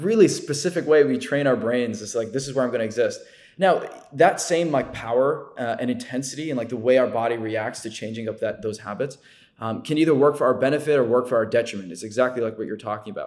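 A man talks at a very fast pace in an American accent. His pitch is medium. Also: ordinary pitch variation. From New Jersey. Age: 20s. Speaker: content creator. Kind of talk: casual chat.

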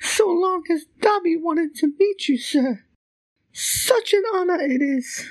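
A put-on character voice at an extremely high pitch. The pace is fairly slow. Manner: nervous, reverent.

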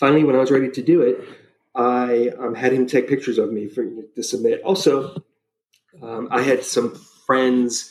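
A man's medium-pitched, plain, everyday voice, fairly even in intonation, at a moderate pace. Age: 50s. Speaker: travel writer. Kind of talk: casual chat.

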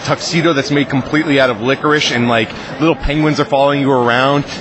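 Noticeable background noise surrounds a man with an American accent. His pitch is fairly high and his pace fairly quick. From Massachusetts, US. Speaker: comic book writer. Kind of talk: interview at a convention. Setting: comic convention floor.

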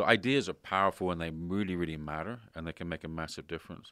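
On a very clean recording with a silent background and a dry, close sound with no echo, a man with a very deep, low pitch and a bright, sharp tone speaks at a very fast pace. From Canada. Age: 50s. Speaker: podcast host. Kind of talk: interview. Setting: in person.

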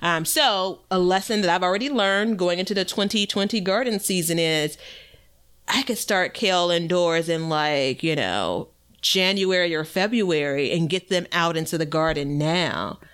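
A woman with a normal speaking voice talks in an American accent, with ordinary pitch variation and very even loudness. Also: fairly low pitch for a woman, moderate pace. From US Midwest. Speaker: podcast host and gardener. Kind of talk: casual chat, podcast.

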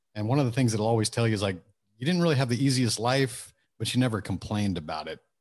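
Against a quiet background, a man with an American accent and a medium pitch speaks at a very fast pace. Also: ordinary pitch variation. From Texas, Houston suburbs. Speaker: author and entrepreneur. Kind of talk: interview.

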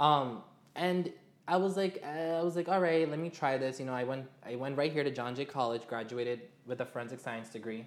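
Here a man with an American accent speaks at a fairly quick pace. His pitch is fairly high, with ordinary variation. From New York, Queens. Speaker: fashion model and LGBTQ activist. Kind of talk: interview conversation.

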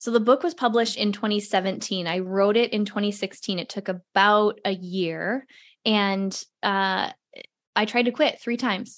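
A woman talks at a moderate pace in a plain, everyday voice. Her medium pitch shows ordinary pitch variation over a quiet background. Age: under 55. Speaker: entrepreneur and podcast host. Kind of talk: casual interview.

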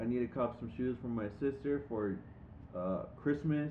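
A plain, everyday voice: a man with an American accent, medium pitch, ordinary pitch variation and a moderate pace. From San Diego, California. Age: 20s. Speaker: podcast co-host. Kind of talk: casual chat.

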